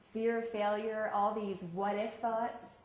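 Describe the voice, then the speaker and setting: Her pitch fairly high, a woman speaks with audible room echo and noticeable background noise. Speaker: sports psychology coach. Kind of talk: workshop talk. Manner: fast.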